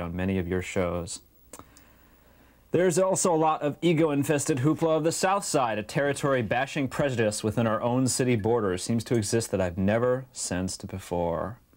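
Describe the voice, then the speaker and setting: Pitch swinging very widely, a man talks at a fairly quick pace in a quiet background. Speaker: public access show host. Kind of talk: comic reading of viewer mail. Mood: wry, amused. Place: home room. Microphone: lapel.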